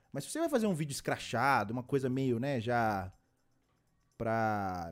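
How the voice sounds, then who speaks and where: Music plays behind a man whose pitch swings very widely as he speaks. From Belo Horizonte, Brazil. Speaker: podcast host. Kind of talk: casual chat.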